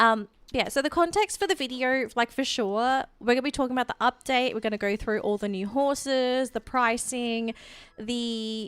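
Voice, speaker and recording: Her pitch is high, with ordinary variation, at a moderate pace. The woman's voice has a dry, close sound with no echo. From Australia. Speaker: gaming streamer. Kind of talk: casual livestream chat. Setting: livestream. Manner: rambling, self-correcting.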